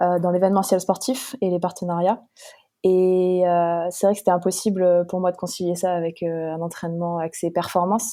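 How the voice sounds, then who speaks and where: Speaking at a moderate pace, a woman has a fairly low pitch and a dark, mellow tone. Her intonation is monotone and flat. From northeastern France, Haute-Marne. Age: 20s. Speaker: professional triathlete. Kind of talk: podcast interview. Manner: hesitant, many fillers.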